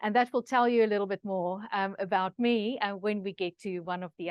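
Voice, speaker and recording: A woman at a fairly quick pace, medium pitch with ordinary pitch variation. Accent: Afrikaans. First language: Afrikaans. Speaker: researcher presenter. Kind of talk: online masterclass presentation. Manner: many filler words, hesitant.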